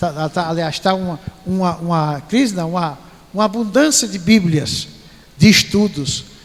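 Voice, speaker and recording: A man talks at a moderate pace with lively intonation, and there is noticeable background noise. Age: 60s. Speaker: pastor. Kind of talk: sermon.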